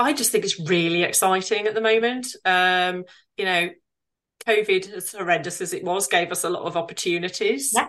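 A woman's normal speaking voice at a medium pitch, moderate pace and ordinary pitch variation, over a quiet background. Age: 40s. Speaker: virtual assistant business owner. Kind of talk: casual interview.

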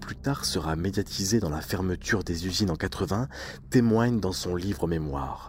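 Lively intonation runs through a man's solemn, dramatic delivery. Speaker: podcast narrator. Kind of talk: true-crime style scripted narration of a historical industrial disaster. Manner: solemn, dramatic, measured storytelling with grave tone.

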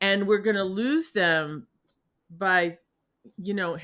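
A woman speaks with an American accent. Her voice sits at a medium pitch. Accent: Boston, slight, r-dropping when comfortable. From New England. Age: 60s. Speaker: artist and healer. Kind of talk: casual interview conversation. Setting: video call podcast with painting behind her. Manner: animated, upbeat.

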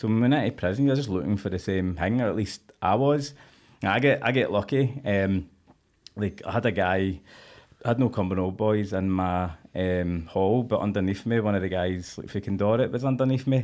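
Speaking with a west of Scotland accent, a man has a fairly low-pitched voice. His pace is fairly quick, and his pitch varies in an ordinary way. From Scotland, Cumbernauld. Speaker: former prisoner. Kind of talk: casual chat.

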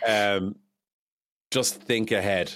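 A man is speaking. He has an Irish accent. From Ireland. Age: 30s. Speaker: video game streamer. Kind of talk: casual interview. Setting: video call. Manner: animated.

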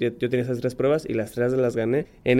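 This man talks at a very fast pace with a medium pitch and a dark, mellow tone. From Mexico, Monterrey. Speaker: professional diver. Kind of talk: interview. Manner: halting.

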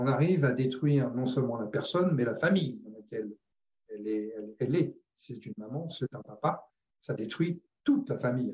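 A somewhat breathy man at medium pitch speaks at a moderate pace with lively intonation and big swings in loudness. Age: 60s. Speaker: former sales director. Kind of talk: casual chat. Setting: video call.

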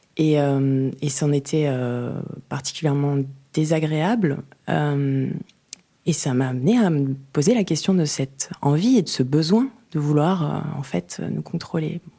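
Very slowly, a woman speaks at a very deep, low pitch in a dark, mellow tone with ordinary pitch variation. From French Catalonia. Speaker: visual artist. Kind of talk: interview. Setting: hotel room. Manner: halting.

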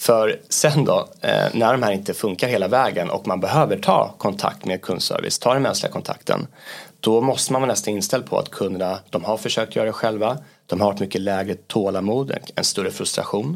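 Heard on a very clean recording with a silent background, a man with a normal speaking voice talks at a fairly quick pace, his pitch fairly low and varying in an ordinary way. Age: 30s. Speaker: business area manager. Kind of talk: interview.

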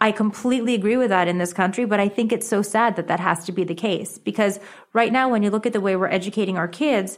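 A woman with a fairly high pitch and ordinary pitch variation, very fast pace, very clean recording with a silent background. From Connecticut and New York City. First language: Japanese. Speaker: author, education advocate. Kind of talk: interview.

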